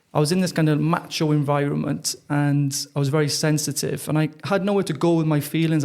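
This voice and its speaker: With a Welsh accent, a man talks at a fairly quick pace in a fairly high pitch, using monotone, flat intonation, very even loudness and hardly any pauses. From South Wales. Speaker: mental fitness trainer. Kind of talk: interview. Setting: podcast.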